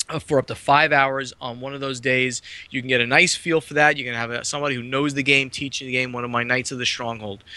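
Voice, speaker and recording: With a slight New Jersey accent, a man talks at a fairly quick pace. His intonation stays fairly even over noticeable background noise. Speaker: board game publisher. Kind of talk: podcast interview.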